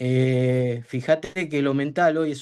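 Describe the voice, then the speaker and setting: Dark and mellow in tone, a man's fairly high voice shows ordinary pitch variation. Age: 60s. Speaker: aspiring football coach. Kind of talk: casual chat.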